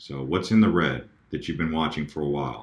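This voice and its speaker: A man speaks with ordinary pitch variation. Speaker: crypto YouTuber. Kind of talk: casual screen-share commentary. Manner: fast; animated, hesitant fillers.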